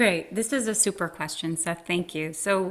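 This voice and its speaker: A woman has an ordinary speaking voice at a medium pitch. She talks at a moderate pace with ordinary pitch variation. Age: 50s. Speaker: Broadway actress and acting professor. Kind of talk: interview.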